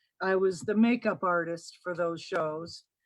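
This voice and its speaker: A woman speaks very slowly in an American accent with ordinary pitch variation. The sound is dry and close, with no echo. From US Midwest, Kokomo, Indiana. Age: 60s. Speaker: guest sharing alien encounter story. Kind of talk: personal testimony. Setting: live-streamed video chat.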